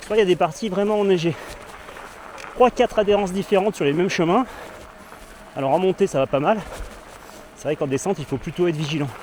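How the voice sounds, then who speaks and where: A man's high-pitched voice at a very fast pace, ordinary pitch variation, long and frequent pauses, and noticeable background noise. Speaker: cycling vlogger. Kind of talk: vlog while mountain biking. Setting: outdoors on an e-mountain bike.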